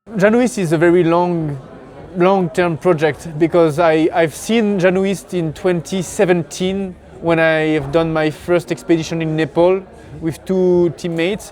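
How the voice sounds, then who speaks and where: With a French accent, a man speaks in a high voice at a fairly slow pace and fairly even intonation, noticeable background noise behind him. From France. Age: 30s. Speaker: pro alpinist and mountain guide. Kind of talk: interview. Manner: halting.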